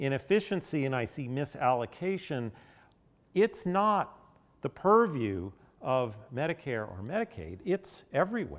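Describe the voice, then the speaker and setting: A man with an American accent speaks at a fairly slow pace. His fairly high voice makes very wide pitch swings. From Nashville, Tennessee (US South). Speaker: health policy expert. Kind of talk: lecture.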